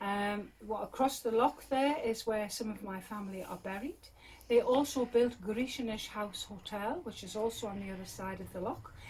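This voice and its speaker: Somewhat breathy, a woman speaks with a Geordie accent at a fairly high pitch and a moderate pace. Her loudness swings widely. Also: ordinary pitch variation. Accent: posh Geordie, toned down Northumbrian. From northern England, Northumberland. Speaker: crofter and yarn maker. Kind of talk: casual chat, guided tour interview. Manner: hesitant, many fillers.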